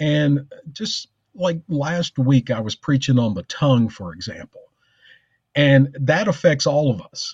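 A man with a fairly high pitch speaks in a passionate tone, somewhat breathy, with lively intonation and big swings in loudness, the sound dry and close with no echo over a quiet background. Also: fairly slow pace. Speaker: pastor. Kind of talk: casual chat.

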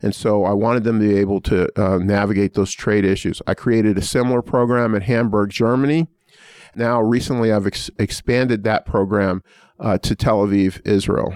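Over a quiet background, a man with a plain, everyday voice and fairly low pitch speaks at a moderate pace. His loudness stays very even, and the sound is dry and close, with no echo. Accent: American. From US Northeast, Pittsburgh. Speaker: law school dean. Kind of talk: interview.

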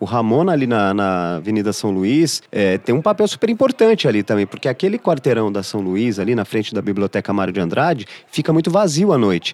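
With an ordinary speaking voice at medium pitch, a man talks at a fairly quick pace with lively intonation and hardly any pauses, the sound dry and close with no echo. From Brazil, São Paulo city. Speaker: journalist, entrepreneur. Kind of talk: casual chat. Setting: studio.

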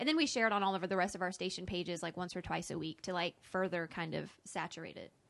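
A woman at a very fast pace with hardly any pauses, medium pitch, ordinary pitch variation and vocal fry, against a quiet background. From Arkansas. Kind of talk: casual chat. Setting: studio.

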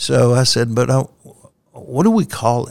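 A man with a Southern US accent speaks at a fairly slow pace and medium pitch. His pitch variation is ordinary, and the sound is dry and close with no echo. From US South. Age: 70s. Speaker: company chief executive. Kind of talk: interview.

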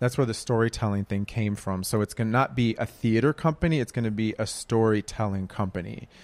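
A man speaks with an unremarkable speaking voice in an American accent, at medium pitch and a fairly quick pace with ordinary pitch variation. The sound is dry and close with no echo, on a very clean recording with a silent background. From Minneapolis, US Midwest. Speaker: playwright. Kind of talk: live panel discussion. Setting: live event with audience.

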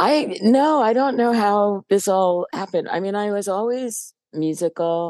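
Speaking with an American accent and lively intonation, a woman goes at a fairly slow pace over a quiet background with a dry, close sound with no echo. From New Jersey, US. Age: 60s. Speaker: musician and bass player.

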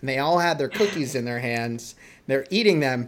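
A man with an American accent has a plain, everyday voice. It sits fairly high in pitch, with ordinary variation. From New England, near Boston. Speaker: podcast host. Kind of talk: casual interview.

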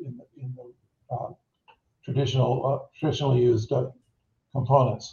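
This man talks at a moderate pace in a medium pitch, his somewhat breathy voice held to a monotone, flat intonation. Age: 70s. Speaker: startup CEO. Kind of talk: interview. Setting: video call. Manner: halting, many repeated words.

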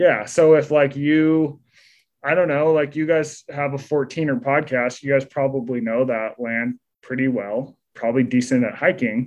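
Fairly even intonation marks a man's normal speaking voice. He has a fairly high pitch and a fairly slow pace. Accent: American. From Utah. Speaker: author. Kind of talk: interview. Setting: podcast interview.

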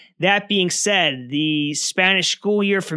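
Speaking in a New Jersey accent, a man has a bright, sharp tone and ordinary pitch variation at a moderate pace. The recording is very clean, with a silent background. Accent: New Jersey American. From New Jersey, US. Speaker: history podcast host. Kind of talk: history narration.

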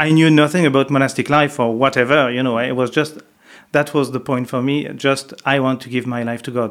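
In a French accent, a man talks at a fairly quick clip with flat, monotone intonation on a very clean recording with a silent background. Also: medium pitch for a man. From France, Paris. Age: 50s. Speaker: monk. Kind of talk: interview. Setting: monastery. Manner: halting.

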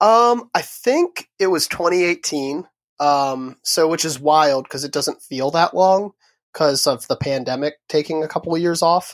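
A man with a plain, everyday voice and an American accent speaks at a fairly slow pace, fairly high in pitch, with ordinary pitch variation. The recording is very clean with a silent background, and the sound is dry and close with no echo. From southern Maryland, US. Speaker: musician. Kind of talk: casual interview chat. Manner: relaxed, laughs often.

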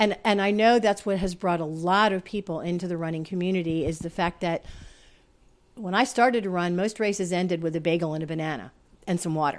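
A woman in an ordinary speaking voice, fairly low-pitched, with ordinary pitch variation and a fairly quick pace. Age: 60s. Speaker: retired science writer and running coach. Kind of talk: casual interview chat.

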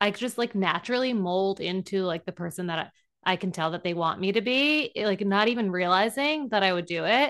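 A woman with an unremarkable speaking voice talks at a fairly quick pace with ordinary pitch variation. The background is quiet. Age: 30s. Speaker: podcast co-host. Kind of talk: casual chat.

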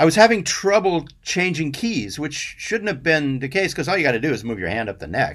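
On a very clean recording with a silent background, a man speaks at a fairly quick pace with hardly any pauses. His fairly high pitch swings very widely, with vocal fry. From US Southwest, Albuquerque, New Mexico. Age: 60s. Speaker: session guitarist. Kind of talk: casual chat. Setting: studio.

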